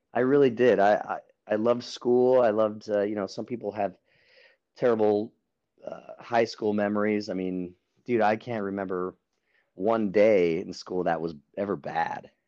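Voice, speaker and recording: Against a quiet background, a man with a fairly low, dark, mellow tone talks at a moderate pace with fairly even intonation. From New Mexico. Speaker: musician and painter. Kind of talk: casual interview. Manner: casual.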